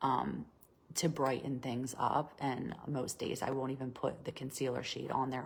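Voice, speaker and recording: In a very deep, low voice with vocal fry, a woman talks at a fairly slow pace. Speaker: makeup tutorial host. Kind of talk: tutorial. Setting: live video class.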